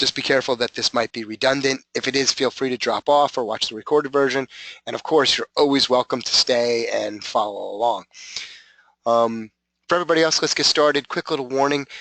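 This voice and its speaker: At a fairly quick pace, a man's medium-pitched voice has a bright, sharp tone and fairly even intonation, with a dry, close sound, no echo and a quiet background. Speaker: webinar presenter on training analytics. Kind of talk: webinar tutorial. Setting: online webinar.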